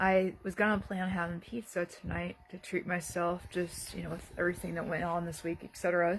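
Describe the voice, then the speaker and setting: Flat, monotone speech at a fairly quick pace with hardly any pauses, against noticeable background noise. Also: woman, fairly low pitch for a woman. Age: 30s. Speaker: video diarist. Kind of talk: casual vlog monologue. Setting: bedroom at home. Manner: halting, many fillers.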